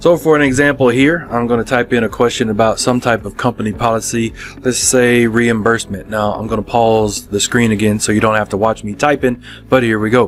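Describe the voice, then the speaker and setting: With music in the background, a man talks at a medium pitch and fairly even intonation. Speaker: software product demonstrator. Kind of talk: software demo tutorial. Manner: casual with fillers.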